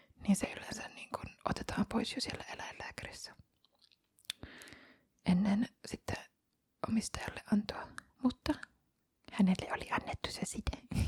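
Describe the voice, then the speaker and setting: A woman whispers at a fairly slow pace in a relaxed tone, leaving long, frequent pauses and swinging widely in loudness. The sound is dry and close, with no echo. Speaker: ASMR content creator, cat foster carer. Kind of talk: ASMR ramble, casual chatty talk about cats. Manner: soft-spoken, relaxed, occasionally whispering.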